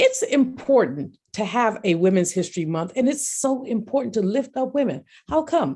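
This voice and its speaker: A woman speaks at a moderate pace with a fairly high pitch and a dark, mellow tone. Her voice has vocal fry and very wide pitch swings. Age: 60s. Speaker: economist and professor. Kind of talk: speech.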